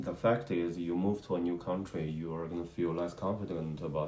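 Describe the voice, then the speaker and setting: A man with a Chinese accent speaks in a very deep, low voice with a dark, mellow tone and fairly even intonation, with audible room echo. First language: Mandarin. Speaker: husband of channel host. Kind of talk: casual interview chat. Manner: halting, with fillers.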